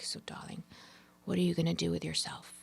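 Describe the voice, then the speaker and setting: A raspy, put-on character voice at middle pitch. It races along at a very fast pace. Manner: probing, disapproving.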